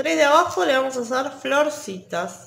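Speaking with a high pitch, a woman uses lively intonation and some vocal fry.

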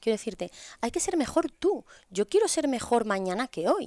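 Her pitch is high and swings very widely as the woman talks at a fairly quick pace. The sound is dry, with no echo. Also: quiet background. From Spain, Asturias. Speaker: podcast guest. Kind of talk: casual interview. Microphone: headset.

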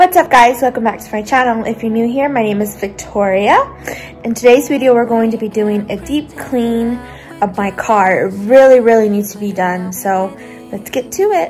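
A woman at a moderate pace, with ordinary pitch variation and big swings in loudness, over faint music in the background. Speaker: lifestyle vlogger. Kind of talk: casual vlog chat. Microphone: phone near.

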